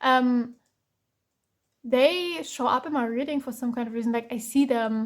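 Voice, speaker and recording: A woman speaks in a German accent at a moderate pace, her pitch high with ordinary variation. She leaves long, frequent pauses. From Germany. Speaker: tarot reader. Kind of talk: tarot reading. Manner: halting, many fillers.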